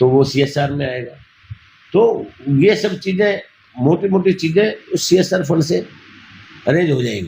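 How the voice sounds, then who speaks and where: Pausing long and often, a man speaks at a high pitch with lively intonation. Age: 60s. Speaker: NGO founder running old age homes. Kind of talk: interview.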